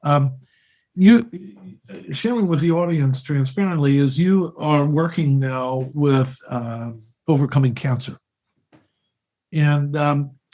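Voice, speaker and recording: A man's somewhat breathy, dark, mellow voice at a fairly high pitch, with ordinary pitch variation and long, frequent pauses, at a very slow pace. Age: 60s. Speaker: podcast host. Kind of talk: interview conversation.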